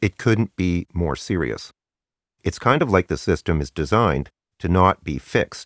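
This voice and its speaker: Vocal fry and lively intonation come through at a moderate pace in a dry, close sound with no echo, recorded very cleanly over a silent background. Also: man, very deep, low pitch for a man. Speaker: astrology YouTuber. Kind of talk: angry rant, ad-libbed monologue. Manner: impassioned, urgent, forceful; unscripted, ad-libbed.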